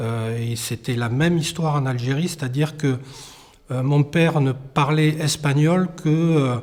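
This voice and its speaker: Fairly slow and somewhat breathy, a man talks at a fairly high pitch. His intonation stays fairly even. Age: 50s. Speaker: documentary interviewee. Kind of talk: testimony. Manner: halting, many hesitations.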